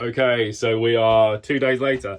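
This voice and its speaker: A man with a British accent, medium in pitch. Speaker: car hobbyist YouTuber. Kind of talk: DIY tutorial vlog. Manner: casual, many fillers.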